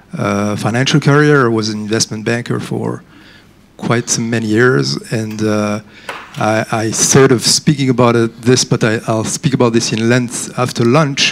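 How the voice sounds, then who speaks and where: A man with a medium pitch talks at a moderate pace, his pitch varying in an ordinary way, while background noise is clearly audible. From France. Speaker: former investment banker, entrepreneur. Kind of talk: panel discussion.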